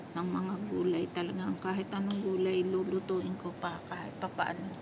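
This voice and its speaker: Noticeable background noise and audible room echo surround a woman speaking at a moderate pace with monotone, flat intonation. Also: medium pitch for a woman. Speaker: vlogger and domestic worker abroad. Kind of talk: voice-over narration. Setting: kitchen.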